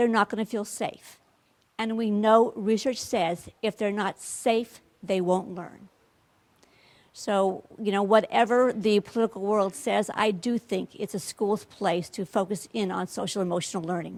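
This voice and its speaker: A woman with a plain, everyday voice talks at a fairly slow pace and medium pitch, her intonation fairly even. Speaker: education trainer. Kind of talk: workshop presentation.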